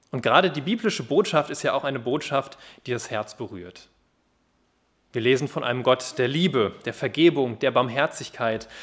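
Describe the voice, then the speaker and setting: A man speaks in a normal speaking voice at a medium pitch and moderate pace, with ordinary pitch variation. The recording is very clean with a silent background. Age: 20s. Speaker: youth worker at a Bible translation organisation, guest preacher. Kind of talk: sermon.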